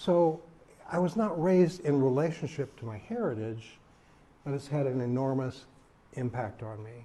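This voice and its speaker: A man with an American accent, fairly high pitched for a man, his tone dark and mellow and somewhat breathy, at a moderate pace with lively intonation, big swings in loudness, and long, frequent pauses. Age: 80s+. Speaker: podcast co-host and activist. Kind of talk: personal talk, life stories. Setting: retirement community talk.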